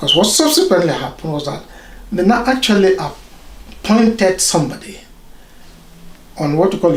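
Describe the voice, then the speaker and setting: A man speaks at a moderate pace. His pitch is high for a man, and the room echo is audible. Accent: Nigerian. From Nigeria. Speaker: doctor, consultant radiologist. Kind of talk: interview.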